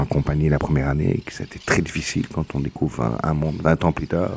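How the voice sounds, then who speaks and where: Against noticeable background noise, a man with a very deep, low pitch speaks at a fairly quick pace with fairly even intonation. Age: 40s. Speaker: former prisoner and educator. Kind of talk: testimony. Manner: halting.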